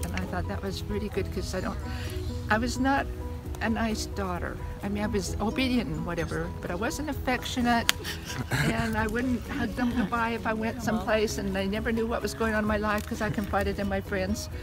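A woman at a fairly quick pace, with clear music in the background. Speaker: grandmother telling family stories. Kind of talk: family storytelling, casual reminiscence. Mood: reflective, fond reminiscing. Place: open country. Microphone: phone near.

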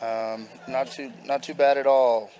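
There is noticeable background noise behind this man. He speaks at medium pitch in a relaxed tone. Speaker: former college outfielder. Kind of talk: casual chat. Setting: broadcast booth interview. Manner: relaxed, halting.

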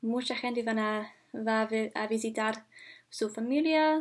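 A woman's high-pitched voice at a very slow pace, against a quiet background. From Canada, Ontario. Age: 20s. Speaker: university student. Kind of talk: language practice monologue. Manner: halting, many fillers. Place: home room. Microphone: webcam.

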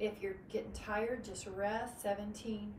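A woman speaks at a very slow pace. Light background noise and audible room echo surround her voice. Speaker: fitness instructor. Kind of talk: live group fitness class, cueing exercises. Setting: online video class with live participants. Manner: calm, encouraging, rhythmic cueing; warm, positive, uplifting. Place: home room. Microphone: camera far.

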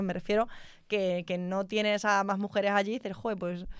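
A woman at a fairly quick pace, ordinary pitch variation, dry sound with no echo, quiet background. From Spain, Extremadura (Mérida); Extremadura, Spain. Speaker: telecom engineer; guest. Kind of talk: interview conversation. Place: studio. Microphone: studio mic.

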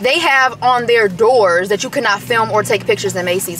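A woman speaks in an animated tone at a moderate pace with ordinary pitch variation, the sound dry with no echo and light background noise behind her. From US Midwest. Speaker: YouTube vlogger. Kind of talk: casual vlog talk to camera. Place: car.

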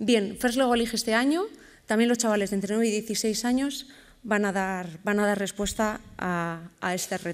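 A woman speaks at a fairly slow pace with a fairly high pitch and ordinary pitch variation. It is a plain, everyday voice. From Bilbao, Basque Country, Spain. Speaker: educational robotics program organizer. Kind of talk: conference presentation. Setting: stage with audience at a conference. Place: stage. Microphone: podium.

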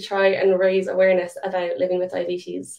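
Against a quiet background, a woman with a Limerick accent talks at a medium pitch in a dark, mellow tone. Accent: Irish (Limerick). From Ireland, Limerick; Ireland. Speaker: diabetes advocate; presenter. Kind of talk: conference presentation. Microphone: webcam.

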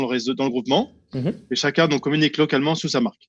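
A man's speech shows ordinary pitch variation, and the background is quiet. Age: 50s. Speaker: real estate network founder; guest. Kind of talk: interview. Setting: on holiday location. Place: home room. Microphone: video call.

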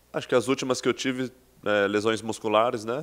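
A man's intonation stays fairly even, and his pitch is fairly low. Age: 30s. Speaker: professional football player. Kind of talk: press conference interview. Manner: halting, many repetitions and fillers. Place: meeting room. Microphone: podium.

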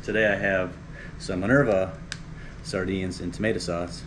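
At a moderate pace, a man speaks with a very deep, low pitch and ordinary pitch variation. Noticeable background noise runs underneath. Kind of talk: cooking tutorial chat. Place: kitchen. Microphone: camera far.

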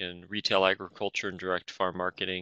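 A man's very deep, low-pitched voice. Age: 40s. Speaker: farmer and university agricultural law staff. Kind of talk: webinar presentation. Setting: online webinar.

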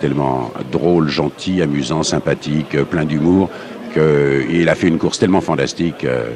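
A man's very deep, low voice at a moderate pace, with ordinary pitch variation, a dry sound with no echo, and noticeable background noise. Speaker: interviewee. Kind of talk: interview answer. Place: hall.

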